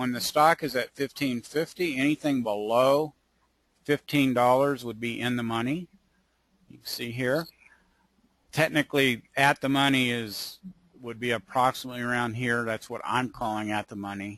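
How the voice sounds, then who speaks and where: At a moderate pace, a man with an unremarkable speaking voice talks at a medium pitch with fairly even intonation. His loudness swings widely, and the sound is dry and close with no echo. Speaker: options trader presenting his strategy. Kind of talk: webinar tutorial.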